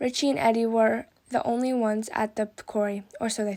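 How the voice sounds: The intonation stays fairly even. It is a natural reading voice.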